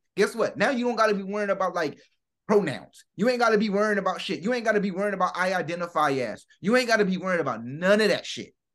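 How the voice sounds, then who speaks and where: At a very fast pace, the voice carries an animated tone with ordinary pitch variation. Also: man, high pitch for a man. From United States. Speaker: podcast co-host. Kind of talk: casual chat.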